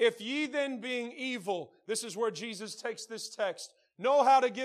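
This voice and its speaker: In a Southern US accent, a man with extremely high pitch and ordinary pitch variation speaks at a fairly slow pace. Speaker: pastor. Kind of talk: sermon. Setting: church. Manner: loud.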